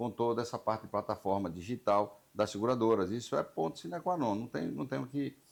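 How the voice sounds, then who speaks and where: In a very clean recording with a silent background, a man with an unremarkable speaking voice talks fairly quickly with ordinary pitch variation. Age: 60s. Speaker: insurance broker union representative, show host. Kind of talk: interview.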